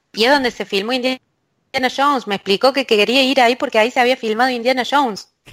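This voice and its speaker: Delivered at a very fast pace with fairly even intonation, the speech sounds dry and close, with no echo. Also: woman, high pitch for a woman. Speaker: university lecturer and researcher in language technology. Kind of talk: interview. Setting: remote call from a closed office booth.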